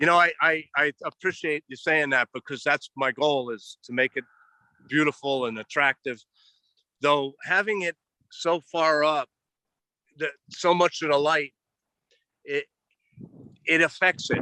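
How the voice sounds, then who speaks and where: A man with an American accent speaks at a fairly high pitch in a bright, sharp tone with ordinary pitch variation. His fairly slow delivery has long, frequent pauses, recorded dry and close with no echo against a quiet background. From US East Coast. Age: 60s. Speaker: regenerative farmer. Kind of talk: interview. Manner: repetitive, stammering restarts.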